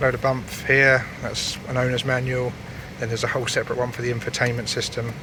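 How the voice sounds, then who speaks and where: Talking at a very fast pace in a British accent, a man keeps a monotone, flat intonation amid audible room echo and noticeable background noise. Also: medium pitch for a man. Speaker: used car dealer. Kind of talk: car walkaround video. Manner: hesitant, stumbling over words.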